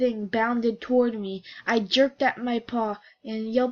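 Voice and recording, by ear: The intonation holds fairly even. Someone reads aloud in a natural voice.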